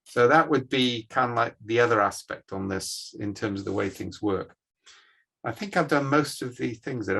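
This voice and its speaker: At a moderate pace, a man delivers his lines with a bright, sharp tone at medium pitch. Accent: British. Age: 60s. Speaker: management scientist. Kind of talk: guest lecture on video call.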